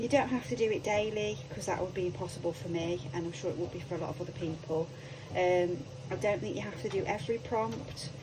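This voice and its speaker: Speaking very fast with a British accent, a woman's fairly low voice swings very widely in pitch. Audible room echo and noticeable background noise fill the recording. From UK. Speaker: crafting YouTuber. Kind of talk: craft tutorial. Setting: home craft room. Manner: hesitant, many ums; quiet.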